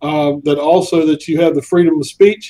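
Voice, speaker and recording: In a Southern US accent, a man talks at a moderate pace and a high pitch, his dark, mellow tone flat and monotone. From US South. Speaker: social network founder. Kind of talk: interview. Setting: live stream. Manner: halting, many fillers.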